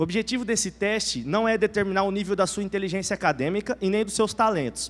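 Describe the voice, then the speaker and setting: This man's voice is high-pitched. His pitch varies in an ordinary way. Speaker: preacher. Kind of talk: sermon.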